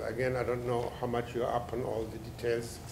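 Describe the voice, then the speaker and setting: Heard with noticeable background noise and audible room echo, a man talks at a moderate pace in a medium-pitched voice. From Mandatory Palestine / Israel, born in Germany. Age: 80s+. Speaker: professor and author. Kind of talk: book talk lecture. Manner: halting, many fillers.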